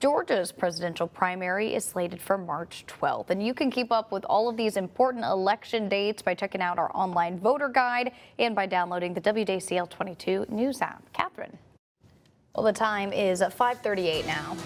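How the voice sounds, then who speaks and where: A woman's ordinary speaking voice at medium pitch, with ordinary pitch variation, a moderate pace, and a very clean recording over a silent background. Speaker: television news anchor and reporter. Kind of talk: television news anchor delivery. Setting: studio news desk, morning show.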